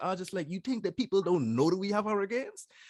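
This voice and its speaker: Very fast speech with lively intonation and a strong Bahamian accent, in a dry, close sound with no echo. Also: man. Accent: broad Bahamian. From Bahamas. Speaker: YouTuber, social commentator. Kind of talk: interview.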